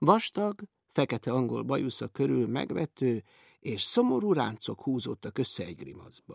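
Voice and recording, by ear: The background is quiet while a person reads aloud in a natural voice.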